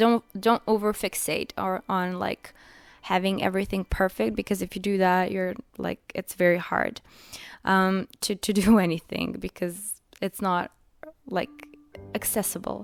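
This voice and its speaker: With a non-native accent, a woman speaks at a medium pitch, a fairly slow pace and fairly even intonation, in a very clean recording with a silent background and a dry, close sound with no echo. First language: not English. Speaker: mental health content creator. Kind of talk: casual advice talk. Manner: halting, many fillers.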